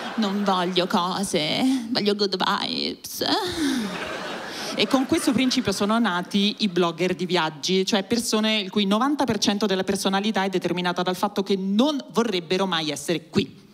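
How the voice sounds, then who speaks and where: Over light background noise, a woman speaks at a fairly slow pace with ordinary pitch variation. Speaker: stand-up comedian. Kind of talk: stand-up comedy, generational satire. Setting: stage with audience. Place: stage. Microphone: handheld.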